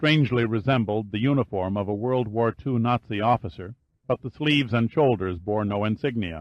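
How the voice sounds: Here is a natural reading voice with ordinary pitch variation. The background is quiet.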